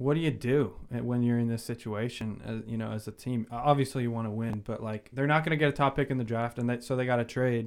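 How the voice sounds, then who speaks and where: Speaking very fast at a medium pitch, a man keeps his intonation fairly even with hardly any pauses. The recording is very clean, with a silent background. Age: young. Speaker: sports podcast co-host. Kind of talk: casual chat. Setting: studio.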